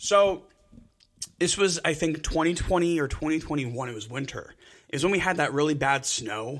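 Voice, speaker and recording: Moderately paced, a man speaks with an American accent and a plain, everyday voice. His fairly high pitch shows ordinary variation. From New Jersey (Elmwood Park). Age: 20s. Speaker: podcast co-host. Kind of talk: casual chat.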